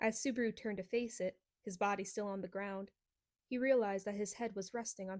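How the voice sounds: The reading voice is natural, and the background stays quiet.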